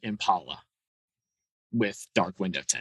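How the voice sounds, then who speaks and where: This man's voice sits fairly low. The sound is dry and close, with no echo. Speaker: police officer. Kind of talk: interview. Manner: halting.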